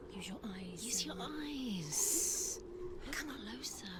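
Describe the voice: Over loud background noise, a cartoonish character voice speaks at a very slow pace with a fairly high pitch.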